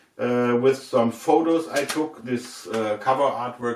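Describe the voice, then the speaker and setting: Over noticeable background noise, a man speaks very slowly with a German accent. His pitch is medium, with ordinary variation. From Germany. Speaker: record label A&R and musician, video host. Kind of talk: casual unboxing video talk. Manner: halting with many fillers.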